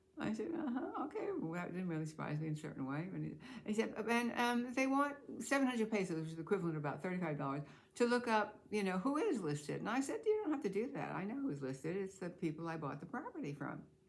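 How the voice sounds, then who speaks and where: Speaking at a very fast pace with an American accent, a woman with a medium pitch makes very wide pitch swings. Noticeable background noise and audible room echo surround her voice. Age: old. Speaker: expat vlogger. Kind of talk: casual vlog storytelling. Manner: halting with many fillers.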